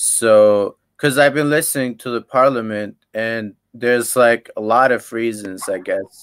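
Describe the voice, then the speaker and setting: A man with a normal speaking voice talks at a medium pitch and a fairly slow pace, with hardly any pauses. His intonation is fairly even, and the sound is dry and close with no echo. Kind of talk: casual chat. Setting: video call.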